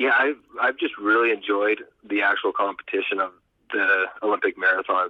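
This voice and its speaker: A man talks at a moderate pace. His loudness stays very even. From Canada. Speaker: Olympic marathon runner. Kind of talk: interview.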